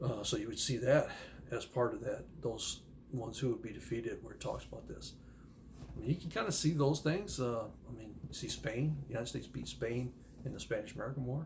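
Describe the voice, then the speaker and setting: Soft-spoken, fairly quick delivery with ordinary pitch variation, vocal fry, and audible room echo. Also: man, medium pitch for a man. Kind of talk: casual monologue on Bible prophecy. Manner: halting, many fillers.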